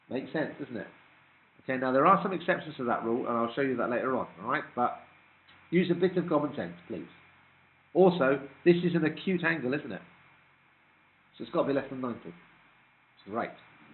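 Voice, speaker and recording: With a British accent, a man speaks very fast in a fairly high voice with lively intonation, taking long, frequent pauses amid audible room echo. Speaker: maths teacher. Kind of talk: classroom lecture.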